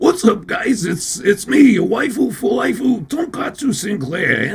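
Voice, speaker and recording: A man adopts a put-on character voice, pitched high and delivered at a moderate pace. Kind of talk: chirpy, introducing a channel.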